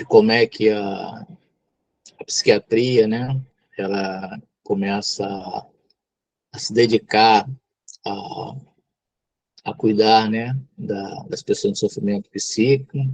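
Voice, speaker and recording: Very slow, fairly evenly intoned speech in a Brazilian accent, broken by long, frequent pauses, with big swings in loudness and a dry, close sound with no echo. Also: man, medium pitch for a man. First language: Tupi (speaking Portuguese). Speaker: psychologist and mental health lecturer. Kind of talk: lecture. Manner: hesitant, many fillers.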